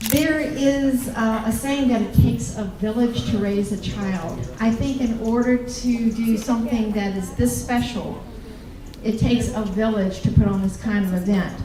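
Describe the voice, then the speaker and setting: A woman's fairly high voice in a Southern US accent, with audible room echo and noticeable background noise. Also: ordinary pitch variation, moderate pace. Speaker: college campus president. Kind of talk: welcome speech.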